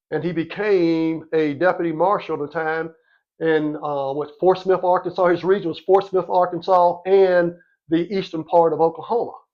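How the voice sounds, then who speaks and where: A man's high voice with fairly even intonation, in a Louisiana accent. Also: moderate pace. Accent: Southern US (Louisiana). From US South, Monroe, Louisiana. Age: 60s. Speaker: podcast host, former officer. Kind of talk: casual interview chat.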